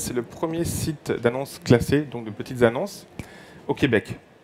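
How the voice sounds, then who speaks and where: A man's voice with ordinary pitch variation. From France. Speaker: company representative presenting at a conference. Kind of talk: conference presentation. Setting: conference room with audience. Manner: halting, frequent hesitations.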